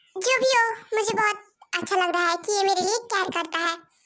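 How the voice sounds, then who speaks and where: A woman puts on a squeaky character voice at an extremely high pitch. She talks at a fairly quick pace with ordinary pitch variation. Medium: read story.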